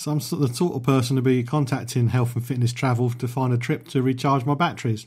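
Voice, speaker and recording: On a very clean recording with a silent background, a man with a somewhat breathy, dark, mellow voice at medium pitch speaks very fast with ordinary pitch variation. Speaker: travel show radio host. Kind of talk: radio show presenting.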